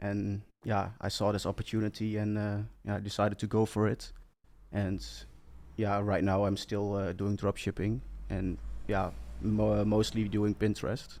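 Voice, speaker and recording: On a very clean recording with a silent background, a man with a Dutch accent talks at a moderate pace in a fairly low pitch, with a dark, mellow tone, monotone, flat intonation and long, frequent pauses. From Netherlands. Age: 20s. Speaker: entrepreneur. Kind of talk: interview. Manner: halting.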